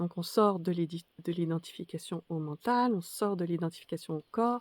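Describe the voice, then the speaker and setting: A woman's medium-pitched voice with a dark, mellow tone, at a moderate pace and ordinary pitch variation, in a dry, close sound with no echo and a very clean recording with a silent background. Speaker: spiritual teacher. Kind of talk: spoken reflection to camera. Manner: halting, many hesitations.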